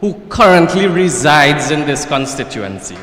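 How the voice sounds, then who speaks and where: The speaker has a Trinidadian accent and talks at a fairly slow pace. Room echo is audible, and background noise is noticeable. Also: man. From Trinidad and Tobago, Marabella/Claxton Bay. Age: 30s. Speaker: political candidate. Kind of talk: political speech. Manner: formal.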